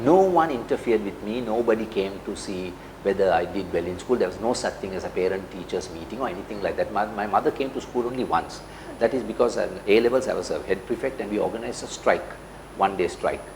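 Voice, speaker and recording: Amid noticeable background noise, a man talks at a very fast pace with lively intonation and a medium pitch. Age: 60s. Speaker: CEO and business leader. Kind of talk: interview. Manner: hesitant, with many fillers.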